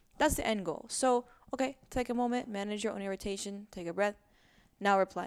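Speaking fairly quickly, a woman has an unremarkable speaking voice set at a medium pitch, and its pitch shifts in an ordinary way. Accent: American. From US. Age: 30s. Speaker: musician and activist. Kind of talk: casual chat. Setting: home recording on a couch.

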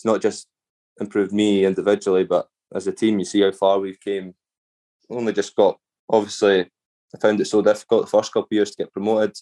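A man with a Scottish accent, very fast speech broken by long, frequent pauses, in a dry, close sound with no echo. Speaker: professional footballer. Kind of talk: interview.

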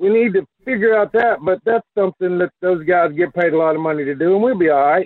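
An American-accented man, his pitch varying in an ordinary way. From Alabama. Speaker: caller. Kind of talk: call-in radio chat. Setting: phone call.

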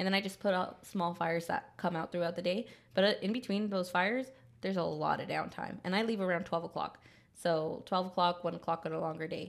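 A woman's fairly low, animated voice with vocal fry, at a very fast pace. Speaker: podcast co-host. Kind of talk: casual chat. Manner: animated, laughs often.

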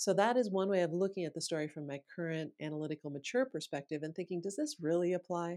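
In a normal speaking voice with an American accent, a woman talks at a fairly quick pace with a fairly low pitch and ordinary pitch variation, in a very clean recording with a silent background. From US Midwest, Sioux Falls, South Dakota. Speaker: author and voice expert. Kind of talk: interview.

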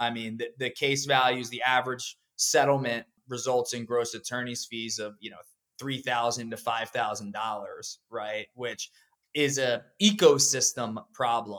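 With an American accent, a man in an unremarkable speaking voice talks at a fairly slow pace and medium pitch, his intonation fairly even and his loudness swinging widely. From Pennsylvania, US. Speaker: law firm CEO and lawyer. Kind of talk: interview.

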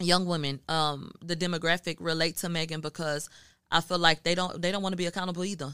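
In a normal speaking voice, a woman talks at a fairly quick pace with a fairly low pitch and an American accent. The recording is very clean with a silent background and a dry, close sound with no echo. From Houston, Texas. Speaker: media journalist. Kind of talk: casual chat.

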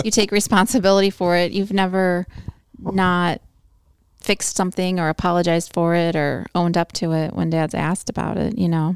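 An ordinary speaking voice with an American accent, moving at a fairly quick pace. The intonation stays fairly even, and the recording is very clean with a silent background. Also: woman, fairly low pitch for a woman. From US Midwest, Illinois. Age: 50s. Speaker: host's mother. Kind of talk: casual chat.

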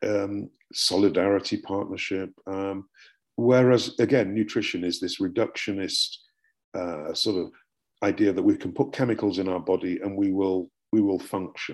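Over a silent background in a very clean recording, a man with a British accent speaks at a moderate pace. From UK. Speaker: professor and book author. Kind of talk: academic interview.

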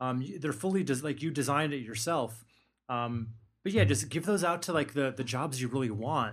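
In a plain, everyday voice, a man speaks fairly quickly at a medium pitch, with lively intonation. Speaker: podcast host. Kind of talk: casual chat.

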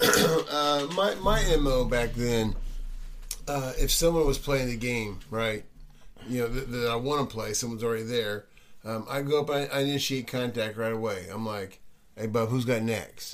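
An unremarkable speaking voice comes from a man of medium pitch. He keeps a moderate pace with ordinary pitch variation. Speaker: podcast co-host. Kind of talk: casual chat.

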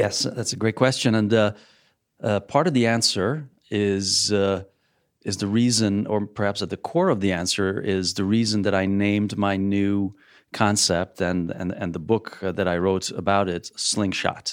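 In a very clean recording with a silent background, a man speaks at a fairly slow pace and fairly low pitch, his intonation fairly even. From Hungary (Budapest), moved to US at 12. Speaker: business strategy consultant and author. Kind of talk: interview.

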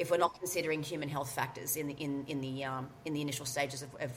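A woman's very deep, low voice in an Australian accent, monotone and flat, very fast with hardly any pauses, amid noticeable background noise. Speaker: workplace mental health consultant. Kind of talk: interview. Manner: loud.

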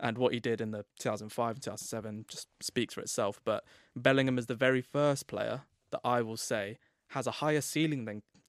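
Speaking at a fairly quick pace, a man in an English accent keeps a medium pitch and fairly even intonation. The recording is very clean with a silent background, and the sound is dry and close with no echo. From England. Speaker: football author and club expert. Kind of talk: casual podcast chat.

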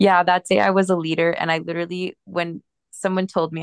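An ordinary speaking voice moves along at a fairly quick pace. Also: woman, dry, close sound with no echo. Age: 20s. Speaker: backpacking trip participant. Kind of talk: casual chat.

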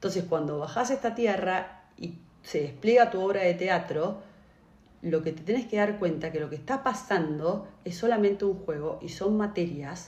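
A woman talks in an ordinary speaking voice at a moderate pace. Her pitch is medium, with ordinary pitch variation. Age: 40s. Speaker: podcast co-host. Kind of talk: casual chat.

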